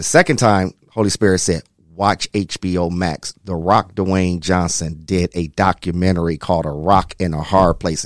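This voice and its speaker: A man's very deep, low voice in an American accent, moderate in pace with hardly any pauses and fairly even intonation, dry and close with no echo on a very clean recording with a silent background. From Toledo, Ohio. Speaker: executive director of a youth mentorship program. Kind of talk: casual interview chat. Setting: studio.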